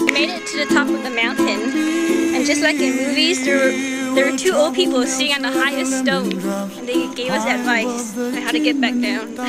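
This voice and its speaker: A woman talks at a moderate pace over loud music in the background. The sound is dry, with no echo. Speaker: traveler vlogger. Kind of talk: casual vlog chat. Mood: cheerful, playful. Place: street. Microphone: phone near.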